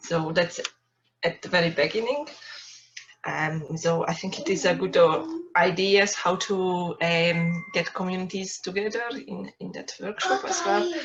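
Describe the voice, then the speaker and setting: A woman talks at a fairly slow pace. Her voice is fairly low, with ordinary pitch variation. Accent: Hungarian. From Hungary. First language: Hungarian. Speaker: workshop participant. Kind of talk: self-introduction.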